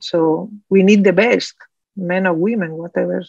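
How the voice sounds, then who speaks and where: A woman speaks with a Spanish accent. Her pitch is fairly low. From Spain. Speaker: oncologist, committee chair. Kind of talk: panel interview. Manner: halting.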